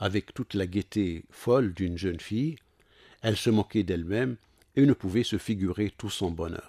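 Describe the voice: The pitch moves in an ordinary way. The text is given as plain reading aloud.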